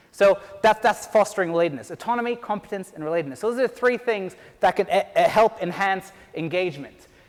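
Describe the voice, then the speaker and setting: A man with a high voice and an Irish accent, talking very fast. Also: ordinary pitch variation. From Ireland. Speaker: PhD researcher and teacher. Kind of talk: conference talk.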